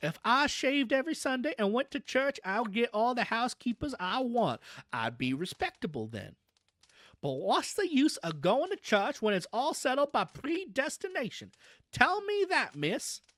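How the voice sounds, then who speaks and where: This put-on character voice is gruff and fairly high, with very wide pitch swings at a moderate pace, captured in a very clean recording with a silent background. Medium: virtual streamer. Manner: gruff, rough colloquial speech.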